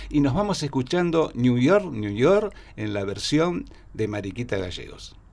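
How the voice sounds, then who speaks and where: With a Rioplatense accent, a man speaks at a fairly slow pace and a fairly high pitch. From Argentina. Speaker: radio host. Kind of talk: interview; interview questions. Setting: studio. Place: studio. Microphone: studio mic.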